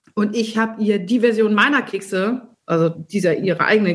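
A woman talks at a medium pitch, somewhat breathy, with ordinary pitch variation. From rural Germany, small farming village. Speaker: recipe developer and food columnist. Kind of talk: casual chat.

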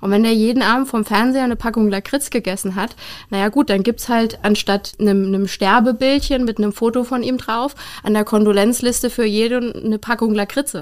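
Talking at a fairly quick pace, a woman with an unremarkable speaking voice keeps a fairly high pitch and fairly even intonation. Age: young. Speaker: funeral director. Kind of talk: interview.

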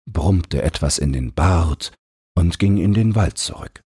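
Low in pitch, this man's voice has a husky, rough edge and a slightly mellow tone. He speaks at a fairly slow pace with lively intonation.

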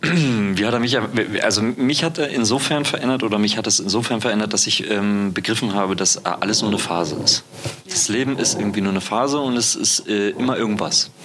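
A fairly quick, medium-pitched man with very even loudness and ordinary pitch variation, amid noticeable background noise. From East Germany. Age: 20s. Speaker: podcast host. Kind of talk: casual interview chat. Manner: halting, many fillers.

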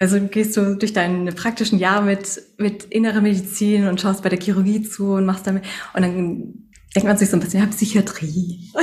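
A somewhat breathy voice at a moderate pace, monotone and flat, with very even loudness. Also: woman, medium pitch for a woman. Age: 30s. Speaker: doctor and sound therapist. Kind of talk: interview.

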